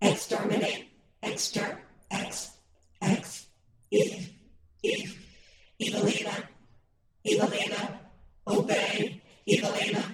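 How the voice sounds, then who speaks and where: A man uses a put-on character voice with high pitch, speaking at a fairly slow pace. Long, frequent pauses break it up, and there is a slight echo. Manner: glitching, stuttering.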